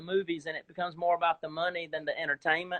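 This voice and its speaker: A man with a Southern US accent, high-pitched and at a very fast pace. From US South, South Georgia. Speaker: actor. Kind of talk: casual chat. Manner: animated. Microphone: video freezing during call.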